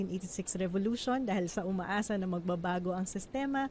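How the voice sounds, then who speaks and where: An unremarkable speaking voice from a woman, medium-pitched and moderately paced. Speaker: economist and interviewer. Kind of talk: interview. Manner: polite, formal (uses po).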